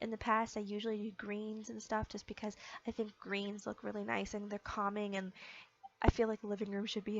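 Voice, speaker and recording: A woman is speaking. Her pitch sits fairly high. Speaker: gaming video creator. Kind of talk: casual game build commentary. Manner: many filler words (um, uh).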